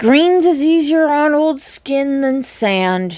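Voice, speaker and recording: Putting on a character voice, a woman speaks very slowly at a high pitch with lively intonation. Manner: long-suffering.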